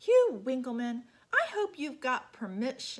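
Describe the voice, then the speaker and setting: Using a put-on character voice, a woman talks at a moderate pace and a high pitch. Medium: read story.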